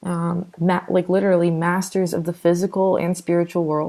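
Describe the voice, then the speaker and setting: In a very clean recording with a silent background, a woman speaks fairly slowly in a fairly low pitch. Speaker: vlogger. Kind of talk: casual monologue vlog. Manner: animated, halting with fillers.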